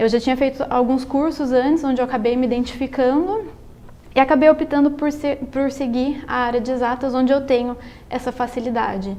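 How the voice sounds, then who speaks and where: At a fairly quick pace, a woman speaks in a high voice with fairly even intonation. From Brazil, São Paulo state (Salto). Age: 20s. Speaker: engineering student and amateur writer. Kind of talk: interview. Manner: halting, with repetitions.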